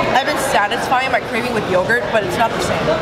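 A woman's voice with ordinary pitch variation under loud background noise. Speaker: vlogger. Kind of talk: casual mukbang vlog chat. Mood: happy, relaxed. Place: cafe. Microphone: camera far.

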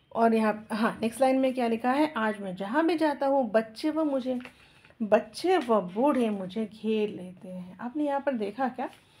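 Over noticeable background noise, a woman speaks with lively intonation at a fairly high pitch. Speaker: school teacher. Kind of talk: lesson explaining a textbook chapter with reading aloud.

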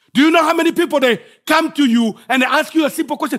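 Extremely high-pitched man with a Congolese accent, very wide pitch swings, on a very clean recording with a silent background. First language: French. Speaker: guest preacher. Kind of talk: sermon. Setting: church.

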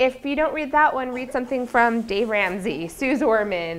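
The pace is moderate and the pitch varies in an ordinary way. Light background noise sits behind the voice. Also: woman. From Utah, US. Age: 30s. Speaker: business professor. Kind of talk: lecture. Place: classroom. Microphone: lapel.

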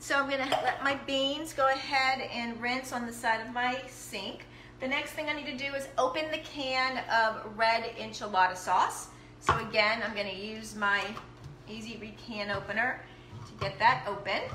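A woman at a moderate pace with ordinary pitch variation and big swings in loudness, amid audible room echo and light background noise. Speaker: home cook demonstrating products. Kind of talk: live cooking demo chat. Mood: cheerful, laughing. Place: kitchen. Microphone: phone near.

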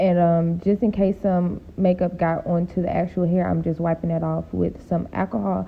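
A woman with vocal fry speaks at a moderate pace and a fairly low pitch, with little pitch movement.

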